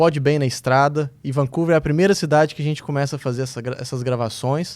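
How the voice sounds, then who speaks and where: An ordinary speaking voice from a man, fairly high in pitch, at a fairly quick pace. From Minas Gerais, Brazil. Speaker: podcast host. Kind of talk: podcast intro. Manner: upbeat.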